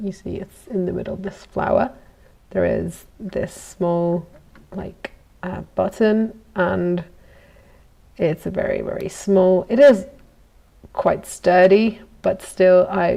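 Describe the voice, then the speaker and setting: Speaking in a relaxed tone with a slight Italian accent, a woman moves at a very slow pace. She leaves long, frequent pauses, and her loudness swings widely. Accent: good English accent, slightly Italian. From Italy. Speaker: goldsmith. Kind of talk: casual live vlog while working. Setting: workshop. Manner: relaxed, hesitant with fillers.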